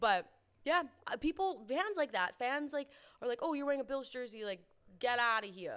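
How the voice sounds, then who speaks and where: A woman with a Canadian accent speaks in an animated tone with a high pitch and very wide pitch swings, at a moderate pace broken by long, frequent pauses. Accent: Canadian, extended O's. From Canada. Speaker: sports podcast co-host. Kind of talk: casual chat.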